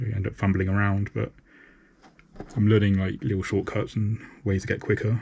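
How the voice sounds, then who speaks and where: Somewhat breathy, a man talks at a fairly low pitch with fairly even intonation. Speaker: artist streaming painting live. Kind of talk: casual live-stream talk while painting. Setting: live stream. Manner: halting, repeats words.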